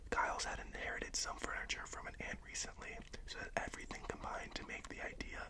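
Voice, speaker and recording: Whispering in a relaxed tone at a fairly quick pace, a man is heard over noticeable background noise. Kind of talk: audiobook-style reading, ASMR. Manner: soft-spoken, relaxed, whispery.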